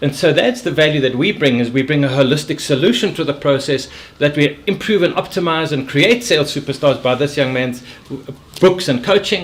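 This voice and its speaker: A man talks at a fairly quick pace in a fairly high voice, with ordinary pitch variation. Noticeable background noise runs behind him. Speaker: sales and leadership coach. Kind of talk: casual interview chat. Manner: animated; occasional stammer.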